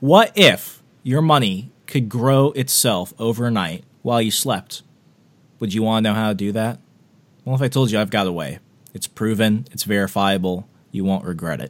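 In an ordinary speaking voice, a man talks at a moderate pace, his pitch fairly low with ordinary pitch variation. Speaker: podcast host. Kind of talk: radio dj patter, upbeat pitch-style host banter.

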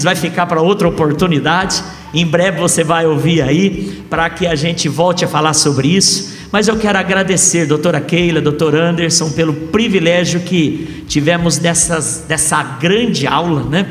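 The speech runs at a moderate pace with hardly any pauses, very even loudness and ordinary pitch variation, with audible room echo and noticeable background noise. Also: man. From Brazil, interior of São Paulo state. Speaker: pastor. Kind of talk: live podcast interview.

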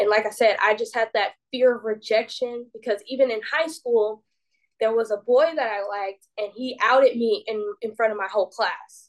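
A woman with an American accent has an unremarkable speaking voice at a fairly high pitch. Her intonation is fairly even, and her pace is moderate. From US South, Decatur, Georgia. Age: 20s. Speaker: professional wrestler. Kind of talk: casual interview.

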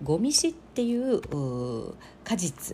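Dark and mellow in tone, the woman's voice is also somewhat breathy. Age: 40s. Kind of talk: casual solo monologue.

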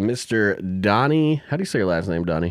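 Recorded very cleanly against a silent background, a man with an American accent has an unremarkable speaking voice, a fairly low pitch and ordinary pitch variation. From Arizona and South Dakota. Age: 30s. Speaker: podcast host and musician. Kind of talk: casual chat; show introduction.

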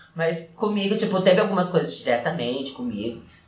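A man's high voice swings very widely in pitch, with noticeable background noise and audible room echo. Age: 20s. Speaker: dancer and dance teacher. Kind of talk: casual chat.

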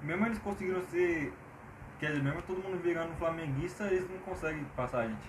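In a room with audible echo and noticeable background noise, a man speaks at a very fast pace and high pitch, with ordinary pitch variation. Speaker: podcast co-host. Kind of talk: casual chat. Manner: animated. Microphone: cheap Samsung earphone mic.

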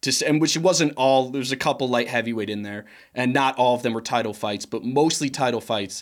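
A man with an American accent and an unremarkable speaking voice, medium pitch, ordinary pitch variation, fairly quick pace, in a very clean recording with a silent background. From Chicago, US Midwest. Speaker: podcast producer and co-host. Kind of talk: casual chat.

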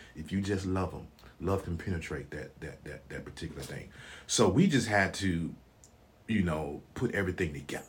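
A man with a Memphis accent talks at a moderate pace in a very deep, low pitch, somewhat breathy, with ordinary pitch variation, big swings in loudness, and audible room echo. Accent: Southern US (Memphis). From US South (Memphis, Tennessee). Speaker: retired soldier, realtor, elder. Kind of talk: casual interview.

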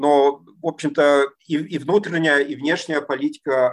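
A man's voice, fairly high in pitch. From East Germany. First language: German (speaking Russian). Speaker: political scientist. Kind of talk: interview. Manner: halting, many fillers.

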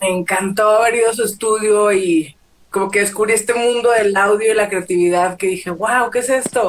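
Her loudness very even, a woman speaks at a medium pitch with fairly even intonation. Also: moderate pace. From Mexico, Torreón, Coahuila. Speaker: plus-size model and activist. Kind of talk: casual interview chat. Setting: Instagram live video stream.

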